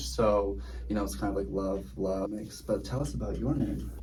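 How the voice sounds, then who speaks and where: Pitch swings very widely here, against audible room echo and noticeable background noise. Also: man. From Netherlands, moved often, high school in California. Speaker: law student vlogger. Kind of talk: casual chat.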